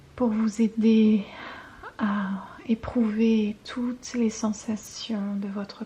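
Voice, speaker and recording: Over noticeable background noise, a woman with a fairly high pitch speaks very slowly in a calm tone, her intonation monotone and flat. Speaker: intuitive guidance reader and ASMR creator. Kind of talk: ASMR guidance reading. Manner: soft, calm, relaxing.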